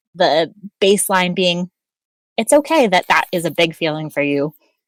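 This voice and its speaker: A woman's fairly low voice at a moderate pace, lively in intonation, with a dry, close sound and no echo. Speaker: editor and author, academic. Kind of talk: casual interview chat. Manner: articulate.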